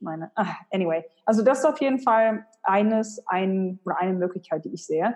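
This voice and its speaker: Speaking at a fairly quick pace, a woman with an unremarkable speaking voice and medium pitch uses lively intonation and big swings in loudness. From Germany, Hannover. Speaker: personal branding expert and author. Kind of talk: interview.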